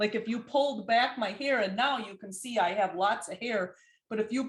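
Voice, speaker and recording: This woman has an American accent and a fairly high, somewhat breathy voice. She speaks at a moderate pace with ordinary pitch variation. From Wisconsin, US. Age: 50s. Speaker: functional medicine practitioner. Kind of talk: interview.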